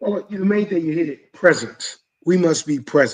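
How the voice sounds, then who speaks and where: A man uses an ordinary speaking voice, with ordinary pitch variation, and keeps a moderate pace. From US South, Mobile, Alabama. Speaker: coach and mentor. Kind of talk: panel discussion.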